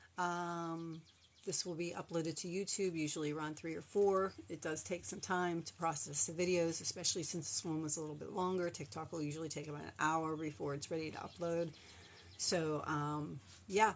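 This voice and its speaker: Talking at a fairly quick pace, a woman with a fairly low pitch shows ordinary pitch variation. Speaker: crochet content creator. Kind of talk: live-stream craft tutorial and chat. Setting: live stream. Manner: fast.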